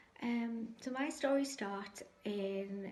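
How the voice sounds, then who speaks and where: A woman's somewhat breathy voice comes through with audible room echo. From northeast England, Sunderland. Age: 60s. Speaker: cancer patient sharing faith story. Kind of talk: testimony. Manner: hesitant, frequent ums.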